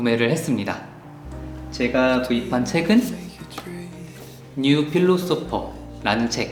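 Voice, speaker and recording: A man's voice with very wide pitch swings over background music. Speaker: book YouTuber. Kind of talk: casual book review to camera.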